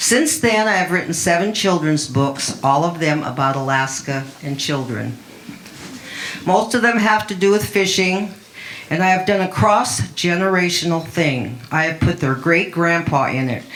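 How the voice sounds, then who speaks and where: A woman speaks at a moderate pace. Her recording has audible room echo and noticeable background noise. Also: fairly low pitch for a woman, lively intonation. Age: 80s+. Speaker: children's book author and fisherwoman. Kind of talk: open mic talk.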